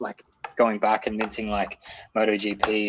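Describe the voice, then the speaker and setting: A man with an Australian accent and a fairly low pitch speaks at a fairly quick pace. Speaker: game developer, communications and marketing lead. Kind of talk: casual interview. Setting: livestream call.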